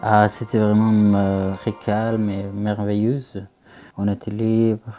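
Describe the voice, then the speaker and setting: Very slowly, a man speaks in a monotone, flat delivery at a fairly low pitch with a dark, mellow tone. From Afghanistan, Herat. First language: Dari or Pashto (speaking French). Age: 20s. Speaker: refugee student. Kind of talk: interview. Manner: halting.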